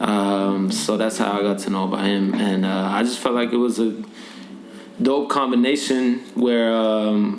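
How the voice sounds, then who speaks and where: A medium-pitched man talks at a fairly slow pace with fairly even intonation and very even loudness. Audible room echo and noticeable background noise come through. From Norway. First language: Norwegian. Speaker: rapper and musician. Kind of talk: casual interview. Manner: halting, many fillers.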